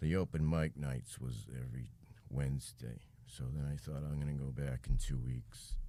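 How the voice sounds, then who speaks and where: Moderate pace, ordinary pitch variation and an American accent. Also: man, very deep, low pitch for a man. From United States. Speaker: comedian. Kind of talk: interview answer.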